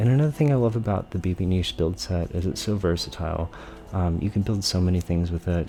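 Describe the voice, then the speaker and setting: A man whispering, with music in the background. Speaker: gaming YouTuber. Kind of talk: tutorial commentary. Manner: soft-spoken.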